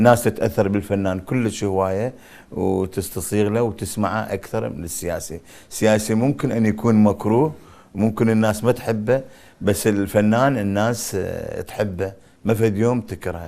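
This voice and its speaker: Dark and mellow in tone, a man's fairly low voice moves at a moderate pace with fairly even intonation. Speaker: actor. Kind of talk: interview.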